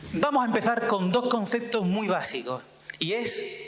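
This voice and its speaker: A man at a high pitch with an Andalusian accent, animated in tone and fairly slow, amid noticeable background noise and audible room echo. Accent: Andalusian, strong seseo. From Andalusia, Sanlúcar de Barrameda (Cádiz). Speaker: myrmecologist, scientist. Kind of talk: public talk. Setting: stage with audience.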